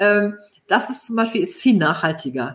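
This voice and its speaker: Lively intonation marks this woman's medium-pitched speech. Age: 40s. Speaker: networking consultant and author. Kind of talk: casual interview chat. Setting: LinkedIn live stream. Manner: many fillers, halting.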